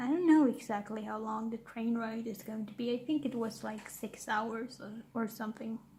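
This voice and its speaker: Soft-spoken, a woman talks at a moderate pace in a Swedish accent. Her pitch is fairly high, and her intonation is fairly even. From Sweden. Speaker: YouTuber. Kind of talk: casual chat. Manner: halting.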